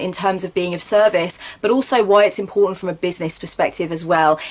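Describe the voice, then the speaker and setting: Over noticeable background noise, a woman talks very fast at a medium pitch with fairly even intonation. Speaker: tarot reader and spiritual counselor. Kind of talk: course introduction video. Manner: verbose, wordy delivery.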